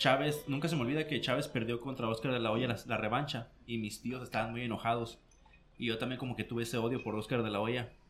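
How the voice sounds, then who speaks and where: At a very fast pace, a man with a medium-pitched voice keeps his intonation fairly even. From Mexico, Mexicali (Baja California). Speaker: combat sports commentator. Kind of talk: casual chat. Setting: studio.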